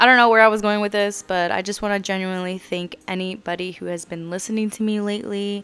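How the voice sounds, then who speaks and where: At a very fast pace and with hardly any pauses, a woman of medium pitch talks in a monotone, flat intonation while her loudness swings widely. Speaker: podcast host. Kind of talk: casual monologue. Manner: rambling and halting.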